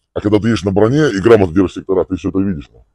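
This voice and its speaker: A man's very deep, low voice with a dark, mellow tone at a very fast pace, ordinary pitch variation, and a dry sound with no echo over a quiet background. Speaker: military instructor. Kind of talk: informal briefing at a whiteboard. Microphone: phone near.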